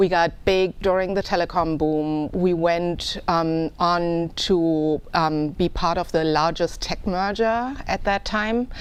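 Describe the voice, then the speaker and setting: A woman with a German accent speaks very slowly and with hardly any pauses, her fairly low voice showing ordinary pitch variation and very even loudness over a quiet background. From Germany. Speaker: political candidate. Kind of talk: interview.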